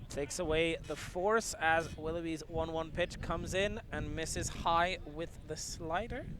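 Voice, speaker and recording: Over noticeable background noise, a man with a high pitch speaks at a fairly slow pace with fairly even intonation. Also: hardly any pauses. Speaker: play-by-play commentator. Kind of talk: live sports play-by-play commentary.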